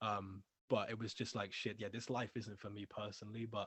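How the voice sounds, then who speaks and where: Here a man talks at a very fast pace with a British accent. His pitch is fairly low. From England. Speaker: music label owner and ex-rapper. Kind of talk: interview, casual chat.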